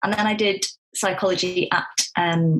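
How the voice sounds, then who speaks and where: A woman speaks with a Staffordshire accent. Her pitch is medium. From Staffordshire, England. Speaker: clinical psychologist. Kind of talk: podcast interview. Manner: animated.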